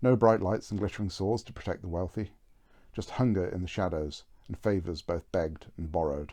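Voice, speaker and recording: Against a quiet background, a man mumbles at a fairly quick pace in a dark, mellow tone with ordinary pitch variation. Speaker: author. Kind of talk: reading aloud. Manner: mumbling.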